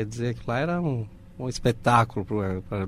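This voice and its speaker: A man speaks with a Spanish accent. His medium-pitched voice moves at a fairly slow pace. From Uruguay. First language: Spanish (speaking Portuguese). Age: 50s. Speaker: audiovisual producer. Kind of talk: interview.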